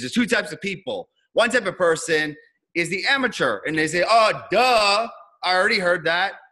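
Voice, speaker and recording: Raised and projected, a man's bright, sharp voice carries a New York accent, an energetic tone and lively intonation. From New York, Queens. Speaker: business coach. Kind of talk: presentation on video call. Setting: video call.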